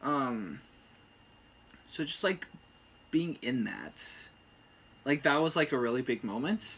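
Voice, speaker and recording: A soft-spoken man with a fairly high pitch and vocal fry talks at a fairly slow pace, his intonation lively and his pauses long and frequent. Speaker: boyfriend of the channel owner. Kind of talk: casual chat.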